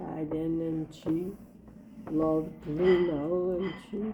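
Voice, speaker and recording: A woman speaks at a fairly slow pace in a fairly low pitch with fairly even intonation. There is noticeable background noise. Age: 80s+. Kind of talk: interview answer.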